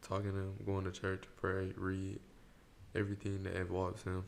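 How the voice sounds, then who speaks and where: A man speaks with a very deep, low pitch. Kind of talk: polished, formal, proper-sounding.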